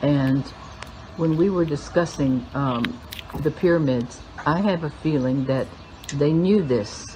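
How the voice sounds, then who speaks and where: A woman with a very deep, low pitch speaks at a fairly slow pace with long, frequent pauses, ordinary pitch variation and very even loudness over noticeable background noise. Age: 70s. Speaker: spiritual teacher. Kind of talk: spiritual talk.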